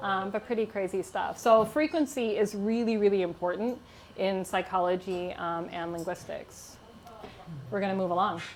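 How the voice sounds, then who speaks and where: A woman with an ordinary speaking voice and an American accent talks at a moderate pace, medium in pitch with ordinary pitch variation. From United States. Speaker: linguistics professor. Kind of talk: humorous science talk to a live audience.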